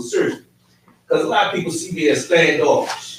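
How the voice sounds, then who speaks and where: Loud and at a very fast pace, a man talks with a high pitch. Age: 50s. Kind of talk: casual chat.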